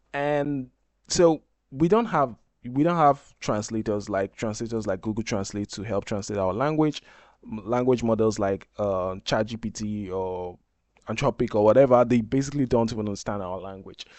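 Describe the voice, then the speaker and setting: Delivered at a moderate pace with a Nigerian accent, the voice shows ordinary pitch variation. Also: man, medium pitch for a man. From Nigeria (Ijaw). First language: Izon. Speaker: software developer, tech YouTuber. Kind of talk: tutorial. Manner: casual, hesitant with fillers.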